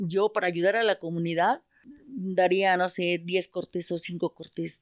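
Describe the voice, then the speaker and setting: A woman's unremarkable speaking voice at medium pitch, fairly slow and fairly even in intonation, with a dry, close sound and no echo. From Mexico City, Iztapalapa. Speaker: market vendor. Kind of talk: casual chat.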